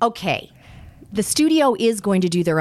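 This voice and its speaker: A woman speaks in a Californian accent on a very clean recording with a silent background. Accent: American (California). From Los Angeles. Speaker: publicist. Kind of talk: interview.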